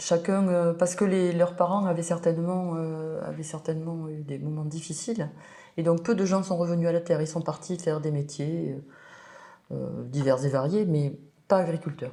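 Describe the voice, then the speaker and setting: Her tone is dark and mellow, and her pitch is fairly low. This woman keeps a moderate pace and fairly even intonation. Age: 60s. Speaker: winemaker. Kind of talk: interview.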